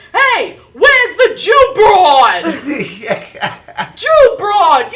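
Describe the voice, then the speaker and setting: A put-on character voice shouts at an extremely high pitch. The delivery is very slow. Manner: yelling across the bar.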